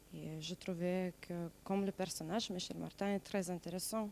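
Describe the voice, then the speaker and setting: Very slowly, a woman with a non-native accent speaks in a dark, mellow tone at a fairly low pitch. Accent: noticeable foreign accent in French. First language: not French (speaking French). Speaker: stage actor. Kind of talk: interview. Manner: halting.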